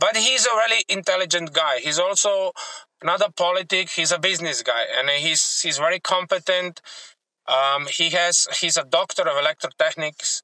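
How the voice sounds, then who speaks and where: With a dry, close sound and no echo, a man with a high pitch speaks at a moderate pace, his loudness very even and his pitch varying in an ordinary way. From Slovenia, rural area. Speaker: taxi driver. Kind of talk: casual interview. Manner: halting.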